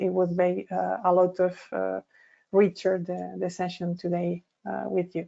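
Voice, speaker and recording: In a Spanish accent, a woman speaks at a moderate pace and a medium pitch. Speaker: lecturer. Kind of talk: lecture. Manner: halting.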